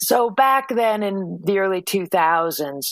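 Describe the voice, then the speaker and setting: A woman with a plain, everyday voice and lively intonation speaks at a fairly slow pace in a very clean recording with a silent background. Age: 60s. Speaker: climate advocate. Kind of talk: interview.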